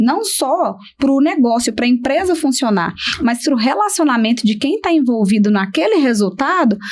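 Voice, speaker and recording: A woman's high pitch with very wide swings. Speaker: business management consultant. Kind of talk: podcast interview conversation. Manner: firm, stern speech.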